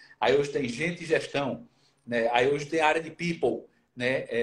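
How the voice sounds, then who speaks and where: At a moderate pace, the speech comes out somewhat breathy. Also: man. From Brazil, Pernambuco (Recife). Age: 40s. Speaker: HR manager. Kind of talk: interview on a live stream.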